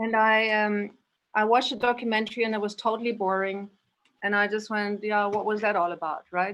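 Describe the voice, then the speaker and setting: In a German accent, the speaker moves at a fairly quick pace with monotone, flat intonation in a very clean recording with a silent background. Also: woman, fairly high pitch for a woman. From Indonesia and Spain. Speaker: guest, yoga practitioner. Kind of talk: personal recollection.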